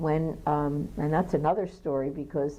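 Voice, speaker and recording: A woman with a Philadelphia accent, very deep and low in pitch, at a moderate pace. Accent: Philadelphia American English. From Philadelphia, USA. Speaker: pianist and teacher. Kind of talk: oral history interview.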